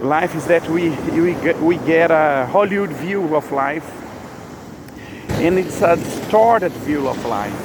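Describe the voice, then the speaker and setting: Over noticeable background noise, someone with a Brazilian Portuguese accent speaks at a fairly slow pace with long, frequent pauses. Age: 50s. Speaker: religious vlogger. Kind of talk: spontaneous spiritual monologue. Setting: outdoors. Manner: halting.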